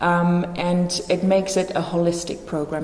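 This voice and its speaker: A woman with a Dutch accent speaks in a fairly low voice with flat, monotone intonation. Noticeable background noise and audible room echo surround her. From Netherlands. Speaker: teacher. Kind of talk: presentation.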